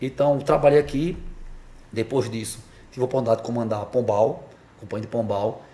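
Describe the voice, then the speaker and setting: This man talks at a fairly quick pace in a medium pitch. His tone is dark and mellow, and somewhat breathy. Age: 40s. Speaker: police officer. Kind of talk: interview. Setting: podcast studio in a barbershop. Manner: hesitant with repetitions.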